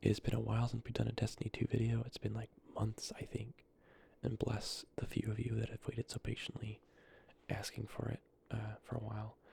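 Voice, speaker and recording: The voice is whispering. The pace is fairly quick. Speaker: ASMR creator and gamer. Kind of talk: soft-spoken ASMR gameplay talk. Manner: soft-spoken.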